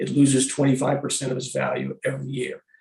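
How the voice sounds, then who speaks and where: Somewhat breathy, a man talks at a fairly quick pace and a fairly high pitch. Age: 60s. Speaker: real estate expert witness. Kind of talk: hearing testimony.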